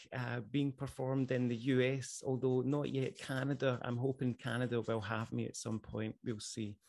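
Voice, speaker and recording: A man with a Scottish accent speaks at medium pitch with fairly even intonation. His pace is fairly slow, and the background is quiet. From Scotland, Ayrshire. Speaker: musician and poet. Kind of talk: panel presentation. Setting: video call. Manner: formal.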